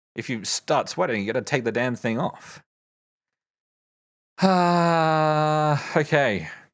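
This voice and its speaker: The recording is very clean, with a silent background. Someone speaks at a very slow pace in an Australian accent. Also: man. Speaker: streamer learning Japanese. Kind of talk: study livestream. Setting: livestream. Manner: halting.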